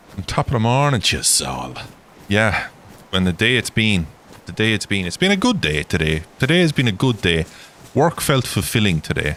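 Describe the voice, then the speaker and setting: In an Irish accent, a man with a fairly low pitch talks at a moderate pace with very wide pitch swings over noticeable background noise. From Ireland. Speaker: gaming livestreamer. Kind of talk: casual livestream chat. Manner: rambling, chatty.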